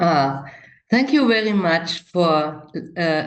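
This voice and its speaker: Speaking with a German accent, a woman uses lively intonation at a very slow pace. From East Germany. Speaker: participant in a video call. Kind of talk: casual chat. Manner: halting.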